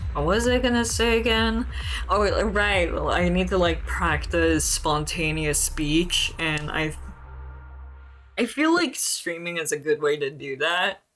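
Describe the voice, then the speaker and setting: Over music in the background, the words unfold at a fairly slow pace. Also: woman. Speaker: video game streamer. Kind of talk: casual chat. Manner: hesitant with filler words and repetitions.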